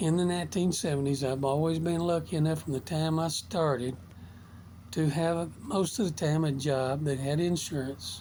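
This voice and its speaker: A man talks at a moderate pace in a fairly high voice with a dark, mellow tone. His loudness stays very even, his pitch varies in an ordinary way, and the room echo is audible. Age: 70s. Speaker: motivational vlogger. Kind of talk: casual monologue.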